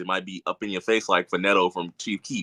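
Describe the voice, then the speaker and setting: With an American accent, a man with a fairly low pitch and a bright, sharp tone talks at a very fast pace with fairly even intonation, in a dry, close sound with no echo over a quiet background. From Louisiana, US South. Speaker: rapper. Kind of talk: interview. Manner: smooth.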